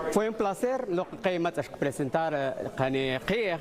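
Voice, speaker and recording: Fairly slow speech from a man over noticeable background noise. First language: Mam (Maya language). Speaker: community radio founder. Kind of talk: interview. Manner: halting.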